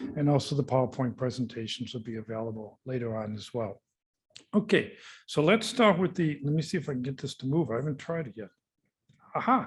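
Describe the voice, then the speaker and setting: With an American accent, a man talks fairly quickly at medium pitch, somewhat breathy, with lively intonation and big swings in loudness. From US Midwest, Chicago. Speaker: institute director, event moderator. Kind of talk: conference moderation. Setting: conference venue with audience.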